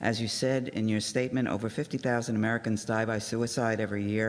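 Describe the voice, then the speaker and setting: A man's monotone voice with flat intonation. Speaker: registered nurse and community representative. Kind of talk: public remarks accepting a proclamation. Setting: city commission meeting.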